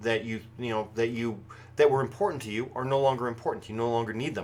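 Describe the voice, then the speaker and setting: The speaker is a man. He talks at a medium pitch. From United States. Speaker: pagan broadcast host. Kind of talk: live show commentary. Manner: projected voice; halting, many fillers and restarts.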